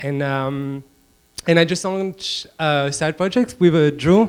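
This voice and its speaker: A man speaks with a strong French accent. His pitch is fairly high. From France, Paris. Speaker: designer. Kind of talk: conference panel talk.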